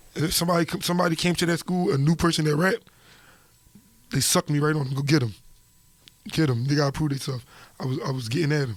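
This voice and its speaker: A man speaks at a very fast pace yet leaves long, frequent pauses, his voice somewhat breathy with ordinary pitch variation. The recording is very clean, with a silent background. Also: fairly high pitch for a man. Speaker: rapper. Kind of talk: casual interview. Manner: animated.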